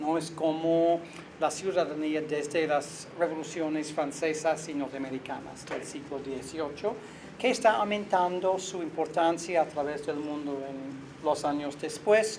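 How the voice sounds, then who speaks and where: Fairly slow delivery with ordinary pitch variation, audible room echo and noticeable background noise. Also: man, fairly high pitch for a man. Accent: non-native. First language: not Spanish (speaking Spanish). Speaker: visiting researcher and lecturer. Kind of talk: academic interview. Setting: university. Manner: halting, with self-corrections.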